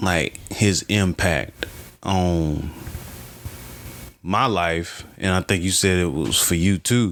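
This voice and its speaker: Speaking with an American accent, a man uses a very deep, low pitch with ordinary pitch variation and very even loudness, moving at a very slow pace with long, frequent pauses. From US South, small-town North Carolina. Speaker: podcast host. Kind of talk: casual chat.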